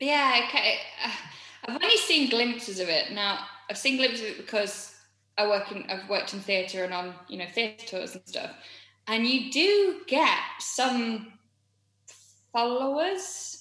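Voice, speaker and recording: A woman with a Yorkshire accent at a fairly high pitch, fairly slow, with long, frequent pauses, very wide pitch swings, big swings in loudness and audible room echo. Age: 30s. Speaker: musical theatre performer. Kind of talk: casual chat.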